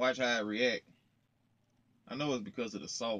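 His tone is bright and sharp. The man speaks at a medium pitch with fairly even intonation. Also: moderate pace.

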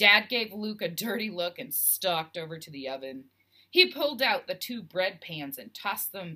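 The words are read aloud. The voice sounds natural throughout.

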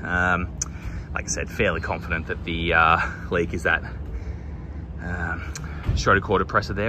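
With an Australian accent, a man speaks at a fairly quick pace over noticeable background noise. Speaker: HVAC technician. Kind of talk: on-the-job tutorial narration. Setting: outdoors on a job site. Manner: casual, hesitant with many fillers.

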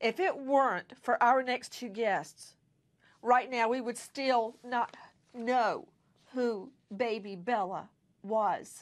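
A woman speaks in a high pitch at a very slow pace. She leaves long, frequent pauses. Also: ordinary pitch variation, quiet background. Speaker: TV news host. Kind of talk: news show introduction. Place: studio. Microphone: lapel.

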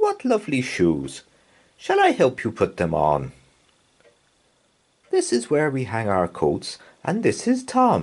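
Using a put-on character voice, a man speaks slowly at medium pitch with a slightly husky edge, very wide pitch swings, and long, frequent pauses.

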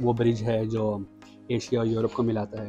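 A man talks at a moderate pace with monotone, flat intonation. Clear music plays in the background. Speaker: food vlogger. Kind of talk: casual food review vlog. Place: cafe. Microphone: phone near.

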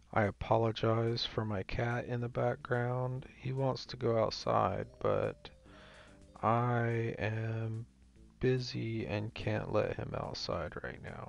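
The speech comes at a very slow pace with a dry sound, no echo and faint music in the background. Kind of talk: gameplay commentary.

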